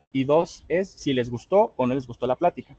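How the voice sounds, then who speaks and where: A man's dark, mellow voice with ordinary pitch variation, in a dry, close sound with no echo. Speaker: public speaking trainer. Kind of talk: online workshop lecture. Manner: fast.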